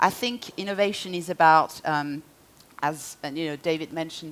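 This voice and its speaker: In a French accent, a woman speaks with a very deep, low pitch, fairly even intonation and a moderate pace. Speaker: marketing executive. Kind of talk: conference talk.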